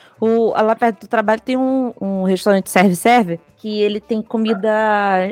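Over music in the background, a woman with a fairly high pitch talks at a moderate pace with fairly even intonation and hardly any pauses, the sound dry and close with no echo. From Rio de Janeiro, Brazil. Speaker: podcast co-host. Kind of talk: casual chat.

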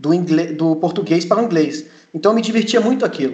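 This man's voice is high, with ordinary pitch variation. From Germany (Munich), then Brazil. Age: 20s. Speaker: mechanical engineer and trainee. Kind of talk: interview. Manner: halting, many repetitions.

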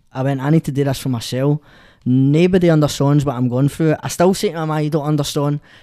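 The speaker talks at a very fast pace with a Scottish accent and ordinary pitch variation. The recording is very clean, with a silent background. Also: man. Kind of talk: casual chat.

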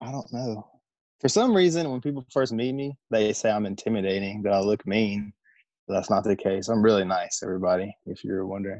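A man with an American accent has an ordinary speaking voice at a fairly low pitch with ordinary pitch variation. He talks at a fairly quick pace over a quiet background. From US South, Southwest Virginia. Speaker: air force tech sergeant. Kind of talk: casual interview.

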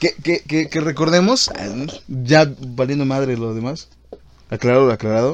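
The speaker has a Mexico City accent and a fairly slow pace. Pitch variation is ordinary. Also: man, medium pitch for a man. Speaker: podcast host. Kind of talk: casual chat.

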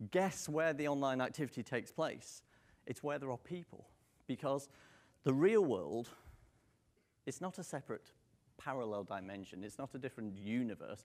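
Over a silent background in a very clean recording, a man with a British accent speaks at medium pitch and moderate pace, with lively intonation and long, frequent pauses. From Manchester, northern England. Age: 40s. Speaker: marketing speaker. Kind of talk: conference talk. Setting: stage with audience.

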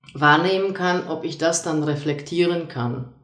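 A woman with a Polish accent, fairly low in pitch, fairly slow and fairly even in intonation, amid audible room echo. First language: Polish (speaking German). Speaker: lecturer and soft skills coach. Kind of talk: casual discussion. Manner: hesitant with many fillers.

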